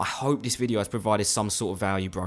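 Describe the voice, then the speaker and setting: In a very clean recording with a silent background, a man with a fairly low pitch talks at a very fast pace in an animated tone with ordinary pitch variation. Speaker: youtuber. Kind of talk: motivational monologue.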